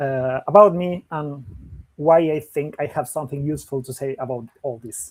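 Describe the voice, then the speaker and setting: Speaking at a moderate pace, a man with an American accent has a fairly high pitch, ordinary pitch variation and big swings in loudness. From Argentina. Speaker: company CEO. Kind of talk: webinar presentation. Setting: online webinar. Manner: halting with fillers and repeats.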